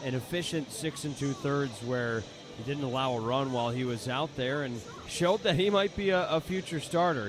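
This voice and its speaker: Fairly quick speech from a man, ordinary pitch variation, noticeable background noise. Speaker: color commentator analyst. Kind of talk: baseball radio color commentary.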